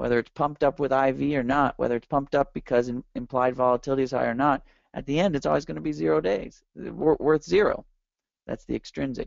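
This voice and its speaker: Speaking very fast, a man keeps his intonation lively. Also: medium pitch for a man. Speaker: options trading educator. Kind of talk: webinar lecture. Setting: online webinar. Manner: animated.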